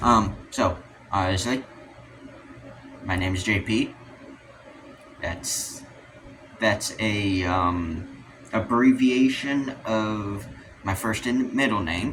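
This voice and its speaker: A man talks at a very slow pace with a fairly low pitch and ordinary pitch variation. His speech has long, frequent pauses, and there is noticeable background noise. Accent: American. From US West, Utah. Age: 18. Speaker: youtuber. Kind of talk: casual rant to camera. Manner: halting, many fillers.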